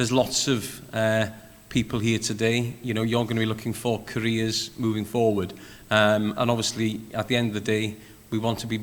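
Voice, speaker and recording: With a Welsh accent, a man with a fairly low voice talks at a fairly quick pace with monotone, flat intonation and audible room echo. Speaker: panel moderator, games industry chair. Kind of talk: panel discussion. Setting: conference session with audience, streamed live.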